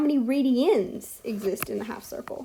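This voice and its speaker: A woman talks while a fair amount of background noise can be heard. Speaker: math teacher. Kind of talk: online lesson.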